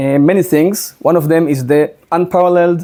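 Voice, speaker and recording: This man's voice has a dark, mellow tone. He speaks with a strong Israeli accent. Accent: thick Israeli. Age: 30s. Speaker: social media commentator. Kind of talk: presentation. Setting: in a house with audience.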